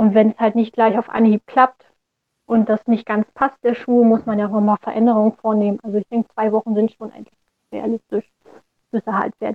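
A woman's fairly high, monotone voice with flat intonation at a fairly quick pace. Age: 20s. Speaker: orthopedic shoemaker. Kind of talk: interview.

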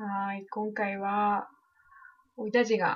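A woman speaks in a Yamagata accent at a fairly slow pace. Her pitch sits in the medium range. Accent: Shonai dialect of Yamagata. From Japan, Shonai region of Yamagata. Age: 20s. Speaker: podcast co-host. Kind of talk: casual chat.

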